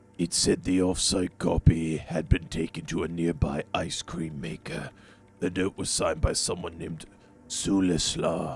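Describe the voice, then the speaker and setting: A man puts on a character voice. It is raspy and very deep and low. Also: moderate pace. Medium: video game.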